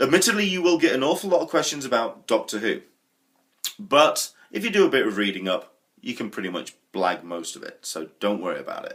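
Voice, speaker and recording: A fairly quick delivery in a British accent, with big swings in loudness. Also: man. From England. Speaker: vlogger. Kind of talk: vlog monologue. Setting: home kitchen. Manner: casual, chatty.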